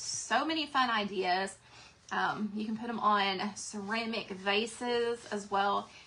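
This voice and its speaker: This woman speaks with an American accent. Her voice is fairly high in pitch. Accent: Southern US twang, varies. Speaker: craft seller and livestream host. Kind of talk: live craft demo and sales chat. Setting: livestream. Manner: casual, chatty.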